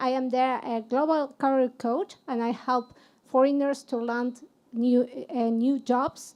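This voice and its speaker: Speaking with a Spanish accent, a woman with a high voice talks at a fairly slow pace in a flat, monotone way. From Argentina. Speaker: HR consultant and career coach. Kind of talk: panel discussion.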